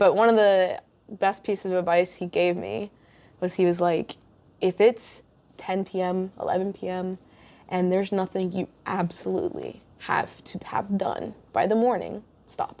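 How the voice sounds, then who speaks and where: An unremarkable speaking voice with an American accent. The pace is moderate and the intonation fairly even. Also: woman, medium pitch for a woman. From USA. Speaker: podcast host. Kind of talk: casual chat. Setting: in person.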